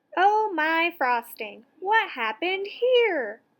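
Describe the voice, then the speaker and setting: A woman puts on a squeaky character voice at extremely high pitch, swinging very widely up and down. She speaks at a very slow pace. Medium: read story. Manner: kind, earnest.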